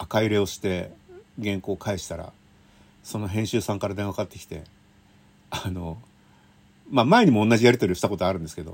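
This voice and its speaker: Long, frequent pauses break up this man's speech, and his loudness swings widely. His pitch is fairly low with ordinary variation. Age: 50s. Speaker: railway writer. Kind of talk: casual monologue. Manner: chatty with laughter.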